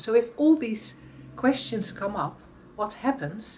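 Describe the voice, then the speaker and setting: A woman speaks with a Dutch accent at a moderate pace. Her voice is somewhat breathy, with lively intonation. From Netherlands. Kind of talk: reflective talk to camera. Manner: halting.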